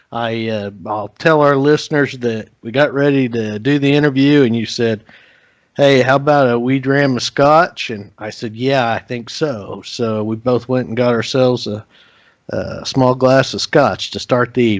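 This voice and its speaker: The man has an unremarkable speaking voice at a medium pitch. He talks at a fairly slow pace with ordinary pitch variation. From Oklahoma. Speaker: podcast host. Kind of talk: scripted intro and sponsor read; podcast interview.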